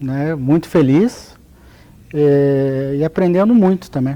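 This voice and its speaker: This man has a dark, mellow tone, ordinary pitch variation and a Paraná accent. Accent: southern Brazilian (Paraná), noticeable. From Paraná, southern Brazil. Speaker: notary registrar, lawyer. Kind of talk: interview.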